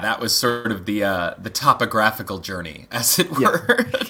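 A man with an American accent speaks at medium pitch and a fairly slow pace in a plain, everyday voice. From Montana and Pennsylvania, US. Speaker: film director. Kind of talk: casual interview chat.

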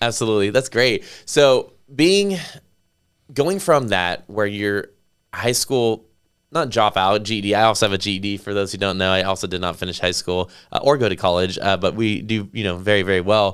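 Captured in a very clean recording with a silent background, a man with an unremarkable speaking voice talks at a fairly low pitch with ordinary pitch variation. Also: moderate pace. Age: 30s. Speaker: podcast host and real estate agent. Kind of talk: casual interview chat.

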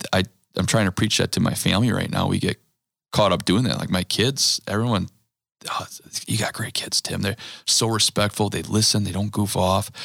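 An ordinary speaking voice, delivered at a fairly quick pace with fairly even intonation. The recording is very clean and dry, close with no echo, over a silent background. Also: man, fairly low pitch for a man. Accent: American. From US Midwest, Wisconsin (Green Bay area). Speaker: churchgoer, father of five. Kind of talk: casual chat.

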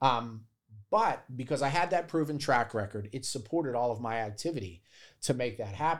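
Recorded very cleanly over a silent background, a man with an American accent and a medium pitch speaks at a moderate pace with lively intonation in an ordinary speaking voice. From Pittsburgh, Pennsylvania. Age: 40s. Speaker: real estate wholesaler. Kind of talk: podcast interview.

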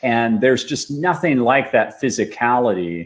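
A man speaks in a plain, everyday voice with an American accent. His pitch is medium, his pace moderate, and his intonation lively. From Austin, Texas. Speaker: tech company founder and CEO. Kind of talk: interview.

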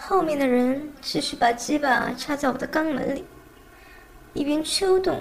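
Noticeable noise fills the background while a woman talks at a fairly slow pace. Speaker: amateur audiobook narrator. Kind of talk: reading aloud.

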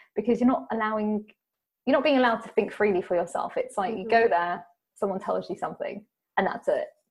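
Talking at a very fast pace with a British accent, a woman has a fairly high pitch, ordinary pitch variation and a somewhat breathy sound on a very clean recording with a silent background. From England. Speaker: podcast host, guest on spiritual podcast. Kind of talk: interview conversation about spirituality.

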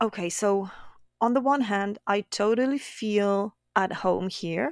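Speaking at a very slow pace with medium pitch and ordinary pitch variation, a woman is heard on a very clean recording with a silent background and a dry, close sound with no echo. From France, Brittany. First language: French. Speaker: painter. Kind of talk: casual chat.

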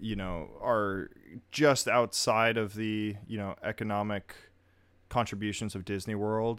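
On a very clean recording with a silent background, a man with an ordinary speaking voice talks at a fairly slow pace and fairly low pitch, his intonation fairly even. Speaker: podcast host. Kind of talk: casual chat. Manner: casual, overlapping banter.

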